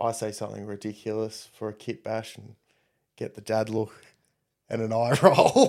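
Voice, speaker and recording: On a very clean recording with a silent background, a man with an Australian accent speaks at a moderate pace and medium pitch, in a monotone, flat intonation with big swings in loudness and long, frequent pauses. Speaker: competitive tabletop wargamer. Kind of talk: casual chat. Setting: live-streamed podcast studio.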